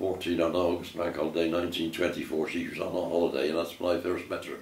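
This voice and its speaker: A man's very deep, low voice with a West Country accent, very fast and monotone, its intonation flat. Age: 80s+. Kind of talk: family reminiscence interview. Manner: hesitant, repetitive.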